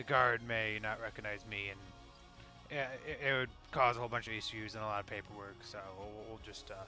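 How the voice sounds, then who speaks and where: Someone does a put-on character voice at a fairly quick pace, with long, frequent pauses. Clear music plays in the background. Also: man, medium pitch for a man. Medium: actual play. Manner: casual, laid-back.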